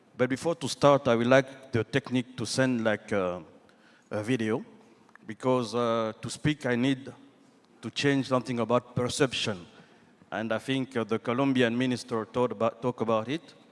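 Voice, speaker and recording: A man with a French accent speaks at a moderate pace and a medium pitch. The sound is dry and close with no echo, and his intonation is fairly even. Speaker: government minister. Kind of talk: panel discussion. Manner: halting.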